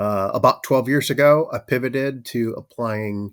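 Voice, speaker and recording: Speaking at a fairly slow pace with a slight Minnesotan accent, a man shows ordinary pitch variation in a very clean recording with a silent background. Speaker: manufacturing operations leader, army veteran. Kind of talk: podcast interview. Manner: many filler words, conversational.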